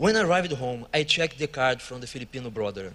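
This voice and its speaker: Lively intonation runs through a man's bright, sharp tone. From Brazil, Rio de Janeiro. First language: Portuguese. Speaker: church worker. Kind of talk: testimony.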